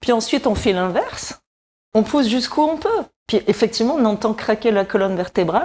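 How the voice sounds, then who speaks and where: A woman uses a normal speaking voice at a fairly high pitch. Her intonation is lively and her loudness very even. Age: 60s. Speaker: wellness columnist. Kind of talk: exercise demonstration tutorial.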